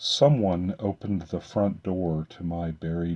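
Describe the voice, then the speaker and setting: Using a put-on character voice, a man drops to a very deep, low pitch. He speaks at a very slow pace. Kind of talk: fantasy poetry reading. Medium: solo performance.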